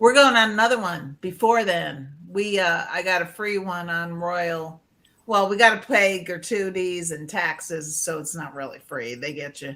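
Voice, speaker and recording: With a New England accent, a woman speaks at a moderate pace in a fairly low voice, her intonation lively and her loudness swinging widely. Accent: Yankee. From Connecticut. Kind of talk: casual chat.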